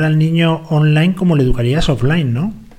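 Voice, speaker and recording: A man speaks fairly briskly while noticeable background noise carries on. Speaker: radio host. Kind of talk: casual chat. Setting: studio. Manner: animated.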